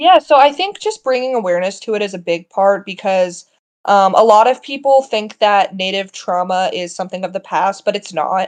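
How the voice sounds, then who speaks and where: A woman with an American accent talks at a fairly quick pace in a normal speaking voice. Her pitch is medium, with ordinary variation. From US Midwest, small-town Iowa. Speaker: journalist. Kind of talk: interview.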